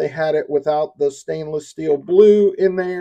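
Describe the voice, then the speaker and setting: Speaking in a Southern US accent, a man has a dark, mellow tone and fairly even intonation at a moderate pace. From US South. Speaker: YouTuber reviewing gear. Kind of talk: product unboxing and review. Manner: casual and conversational.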